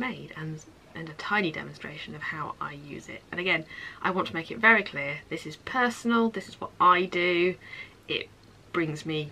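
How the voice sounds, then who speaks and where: A woman's fairly low voice at a fairly quick pace, with big swings in loudness and ordinary pitch variation. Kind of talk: casual vlog chat. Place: home room. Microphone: phone near.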